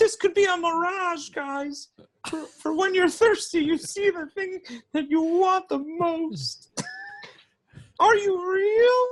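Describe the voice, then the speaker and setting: A put-on character voice talks at an extremely high pitch and a fairly slow pace. Long, frequent pauses break up the speech. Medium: actual play.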